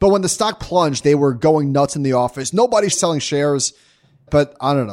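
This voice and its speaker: In an ordinary speaking voice, a man talks at a fairly quick pace, fairly high in pitch, with lively intonation. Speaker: podcast host. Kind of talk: casual chat.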